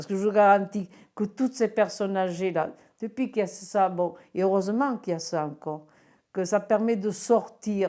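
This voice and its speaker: A woman with a dark, mellow tone and a medium pitch speaks at a moderate pace with ordinary pitch variation. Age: 60s. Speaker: retired bingo caller. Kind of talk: interview testimony. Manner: clear speaking; animated, hesitant.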